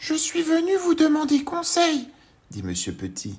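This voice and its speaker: This is a put-on character voice, squeaky and high in pitch. It moves along at a moderate pace. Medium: read story. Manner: polite, timid.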